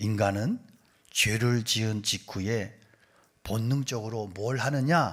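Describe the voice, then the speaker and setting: An animated, somewhat breathy man at medium pitch with a slight Gyeongsang accent. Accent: slight Gyeongsang accent slipping out. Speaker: pastor. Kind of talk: sermon.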